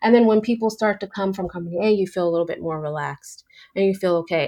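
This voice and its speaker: At a very fast pace, a woman with a fairly low pitch speaks with fairly even intonation. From New York. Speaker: photographer running a documentary project. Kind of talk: interview conversation.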